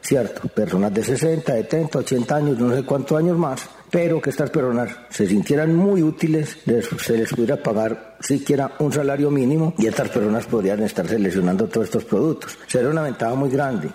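Amid noticeable background noise, a man with a fairly high pitch speaks at a moderate pace and very even loudness. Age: 40s. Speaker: rural development advocate. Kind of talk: radio interview.

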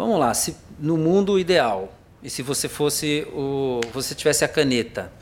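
With a plain, everyday voice, a man speaks at a fairly slow pace in a fairly high pitch with lively intonation. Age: 60s. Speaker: TV talk show host. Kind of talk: interview.

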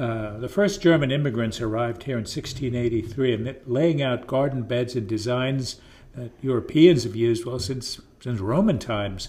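A man with an American accent has a dark, mellow, somewhat breathy tone and ordinary pitch variation. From southeastern Pennsylvania, rural. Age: 70s. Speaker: local historian and writer. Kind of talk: casual interview.

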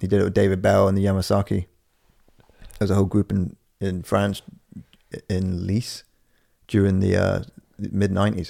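Mumbled, monotone speech from a man with a dark, mellow tone, a fairly quick pace and long, frequent pauses. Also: fairly low pitch for a man. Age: 30s. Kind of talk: casual chat. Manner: fast talker; mumbling.

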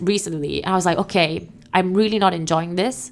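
With a plain, everyday voice, a woman speaks at a moderate pace with a medium pitch and fairly even intonation. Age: 30s. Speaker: entrepreneur. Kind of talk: casual chat.

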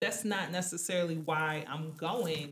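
This woman's voice sits at a very deep, low pitch. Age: 20s. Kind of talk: casual chat.

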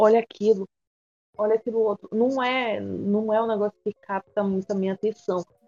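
In a dry, close sound with no echo, a woman with a fairly high pitch speaks at a moderate pace in a monotone, flat intonation. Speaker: podcast co-host. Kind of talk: casual chat.

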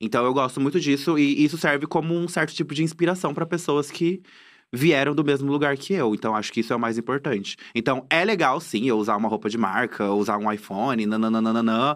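A man with an unremarkable speaking voice talks at a fairly quick pace and a fairly high pitch, with lively intonation. The recording is very clean, with a silent background. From Cuiabá, Mato Grosso, Brazil. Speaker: content creator and comedian. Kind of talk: casual interview chat. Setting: studio.

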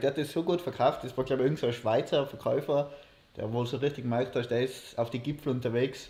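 A man's somewhat breathy, fairly high voice at a fairly quick pace. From Austria, Innsbruck. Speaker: podcast co-host, university student. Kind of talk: casual chat. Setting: livestream.

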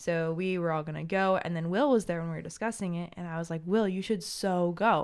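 A woman talks fairly quickly in a plain, everyday voice, fairly low in pitch, with ordinary pitch variation. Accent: American. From small country town, US. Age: 20s. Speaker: stay-at-home mother. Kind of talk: interview.

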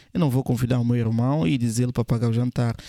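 A man at medium pitch with a dark, mellow tone, fairly quick pace, and dry, close sound with no echo on a very clean recording with a silent background. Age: 20s. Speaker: podcast host, men's lifestyle coach. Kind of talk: motivational monologue. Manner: emphatic, repetitive.

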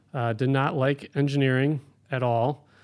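On a very clean recording with a silent background, a man uses an ordinary speaking voice at a medium pitch with fairly even intonation. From Ohio, Cleveland. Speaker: air traffic controller. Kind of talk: interview.

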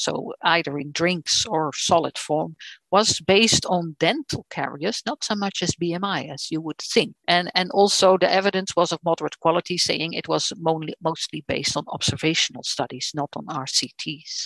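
A woman's fairly low voice with a Dutch accent, moderate pace, lively intonation and hardly any pauses, in a dry, close sound with no echo. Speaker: nutrition professor. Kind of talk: lecture. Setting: video call. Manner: halting.

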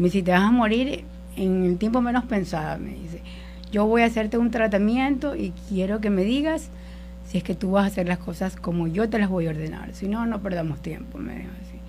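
A woman speaks at a fairly quick pace. Room echo is audible. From Ecuador, coastal Guayas province. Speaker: church worship volunteer. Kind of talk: personal faith testimony. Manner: halting.

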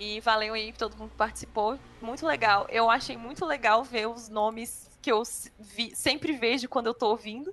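An ordinary speaking voice from a woman, fairly high in pitch, with big swings in loudness, a moderate pace and ordinary pitch variation. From Brazil, Gama (Federal District). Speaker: government podcast producer. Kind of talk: casual chat.

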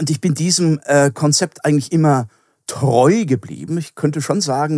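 On a very clean recording with a silent background, a man with a fairly high pitch and ordinary pitch variation speaks at a moderate pace in a normal speaking voice. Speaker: philosophy professor. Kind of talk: interview.

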